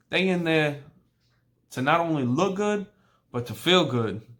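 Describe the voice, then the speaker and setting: Speaking at a moderate pace, a man with a New York accent has a high pitch and ordinary pitch variation. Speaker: barber. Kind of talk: tutorial. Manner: casual.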